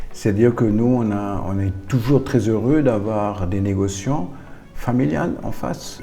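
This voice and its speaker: A man speaks in a German accent at a fairly low pitch with ordinary pitch variation. Music plays in the background. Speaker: winery owner. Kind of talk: interview. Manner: hesitant, many fillers.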